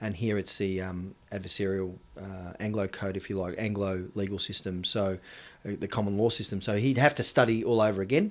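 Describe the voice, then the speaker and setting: In a very clean recording with a silent background, a man with an Australian accent speaks fairly quickly in a fairly low voice with fairly even intonation. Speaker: politician. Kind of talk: interview.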